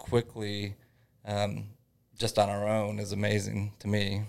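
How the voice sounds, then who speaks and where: A man with a Midwestern American accent speaks at a fairly low pitch on a very clean recording with a silent background. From northern Indiana. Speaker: small business owner. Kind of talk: interview.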